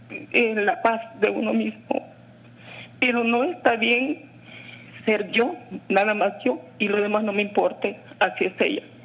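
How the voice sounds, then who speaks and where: Amid noticeable background noise, a woman with a fairly high pitch and lively intonation speaks at a fairly slow pace with long, frequent pauses. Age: 60s. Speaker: caller. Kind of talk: testimony.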